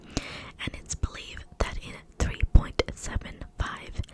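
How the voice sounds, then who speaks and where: Noticeable background noise sits under a woman who whispers at a very slow pace. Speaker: ASMR content creator. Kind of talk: whispered ASMR fact reading. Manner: whispered, close-mic, soft.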